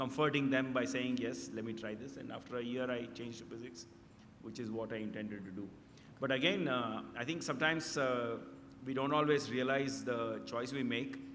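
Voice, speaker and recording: Fairly quick speech with ordinary pitch variation comes through audible room echo and noticeable background noise. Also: man, medium pitch for a man. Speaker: radio astronomer. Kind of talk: interview. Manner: halting.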